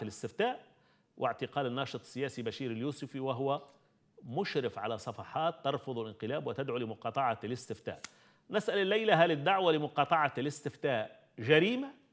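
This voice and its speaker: Fairly high in pitch, a man talks at a fairly quick pace with lively intonation. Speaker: TV call-in show host. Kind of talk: live call-in talk show. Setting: studio. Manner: formal. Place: studio. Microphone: lapel.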